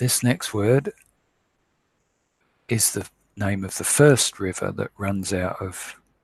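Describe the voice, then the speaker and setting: A man speaking at a very slow pace, his fairly low voice somewhat breathy, with ordinary pitch variation and a dry, close sound free of echo. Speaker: online Bible teacher. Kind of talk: scripture word study lecture.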